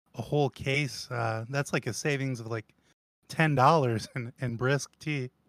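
In an unremarkable speaking voice, a man of medium pitch talks at a fairly slow pace with fairly even intonation, and the recording is very clean with a silent background and a dry, close sound with no echo. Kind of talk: casual chat. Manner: joking, self-deprecating.

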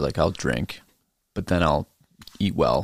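A man's voice with vocal fry at a moderate pace. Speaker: real estate agent. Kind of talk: casual chat.

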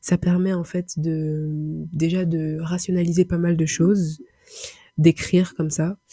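Very slowly and in a flat monotone, a woman speaks with a fairly low, somewhat breathy, dark and mellow voice, the sound dry and close with no echo. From Paris, France. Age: 20s. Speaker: podcaster. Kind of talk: solo monologue. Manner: halting, many repetitions and fillers.

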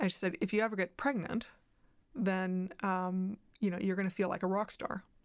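At a moderate pace, a woman with a plain, everyday voice talks at a medium pitch. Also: fairly even intonation. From diplomatic family, moved between countries (Canada, US, Mexico and others). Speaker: head of communications at a children's charity. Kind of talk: interview. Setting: studio.

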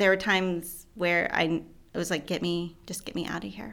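A woman speaks with a Midwestern US accent. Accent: US Midwest. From southeast Michigan. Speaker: storyteller sharing faith journey. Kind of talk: testimony.

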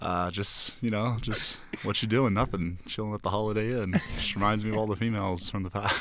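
In a plain, everyday voice, a man with an American accent talks at a fairly quick pace, his fairly low pitch held in fairly even intonation. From South Florida. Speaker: college student. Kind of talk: casual chat.

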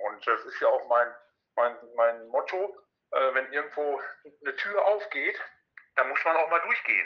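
The pace is moderate. Long pauses come often. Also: man. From Ruhr area, Germany. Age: 50s. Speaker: actor and stuntman. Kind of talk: casual interview.

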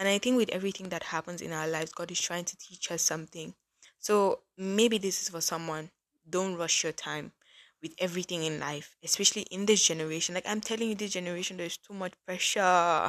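Here a woman talks with a fairly low pitch. The background is quiet. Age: 20s. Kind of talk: casual devotional monologue. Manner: animated.

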